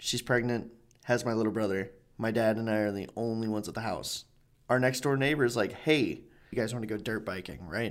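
A man with a plain, everyday voice of medium pitch and fairly even intonation, on a very clean recording with a silent background. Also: fairly quick pace. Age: 20s. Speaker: podcast host. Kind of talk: casual chat.

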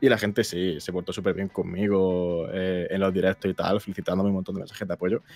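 Over background music, a man with a very deep, low pitch talks at a fairly quick pace in a monotone, flat intonation, with hardly any pauses and a dry, close sound with no echo. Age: 20s. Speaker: YouTuber. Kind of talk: casual chat.

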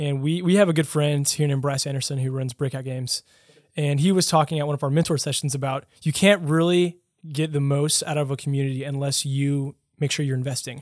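The delivery is very fast. Intonation stays fairly even. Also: man, fairly high pitch for a man. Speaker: podcast host. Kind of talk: casual interview. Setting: studio.

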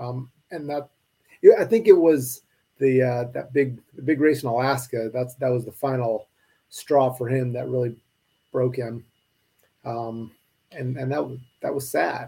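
With an American accent, a man talks at a fairly slow pace in a dark, mellow, somewhat breathy tone, his intonation fairly even, his loudness swinging widely and his pauses long and frequent. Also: medium pitch for a man. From Spokane, Washington, US Pacific Northwest. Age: 40s. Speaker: running coach. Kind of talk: casual chat.

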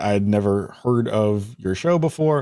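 A man with an American accent and an ordinary speaking voice, fairly low in pitch, lively in intonation, on a very clean recording with a silent background. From US Northeast (Bronx, New York City). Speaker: video game podcast host. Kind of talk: casual interview.

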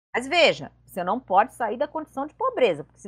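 A woman talking at a fairly quick pace. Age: 50s. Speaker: presidential candidate and economics professor. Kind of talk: political interview.

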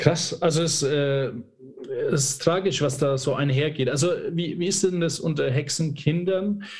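A man with a fairly high voice speaks at a fairly slow pace, leaving long and frequent pauses, his pitch rising and falling in an ordinary way amid audible room echo. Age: 30s. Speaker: podcast host. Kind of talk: interview.

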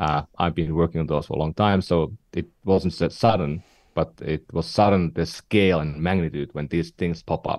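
On a very clean recording with a silent background and a dry, close sound with no echo, a man speaks at a moderate pace with a Finnish accent. His voice has a very deep, low pitch and fairly even intonation. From northern Finland. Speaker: tech entrepreneur and investor. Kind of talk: podcast interview.

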